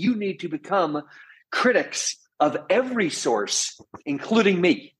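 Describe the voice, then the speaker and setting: A man speaks loudly in a high voice with an animated tone and lively intonation. His pace is fairly slow. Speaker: professor of entrepreneurship. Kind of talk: interview conversation. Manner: animated, loud.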